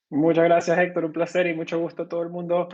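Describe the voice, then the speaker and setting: A man with a Venezuelan accent. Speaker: bitcoin company co-founder. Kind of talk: podcast interview. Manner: hesitant, many fillers.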